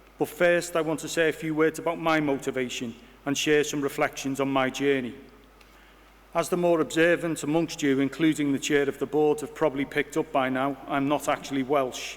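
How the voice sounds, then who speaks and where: With a Liverpool accent, a man talks fairly quickly at a fairly high pitch in a monotone, flat intonation. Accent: Liverpool (Scouse). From Liverpool, Bootle. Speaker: university vice-chancellor. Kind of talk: formal inauguration speech. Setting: hall with audience.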